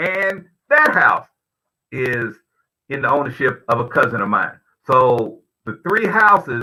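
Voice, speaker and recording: This is a man speaking with an American accent. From Kentucky, US (Richmond). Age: 60s. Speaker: financial planning speaker. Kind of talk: presentation in online forum. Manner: halting, many fillers and repetitions.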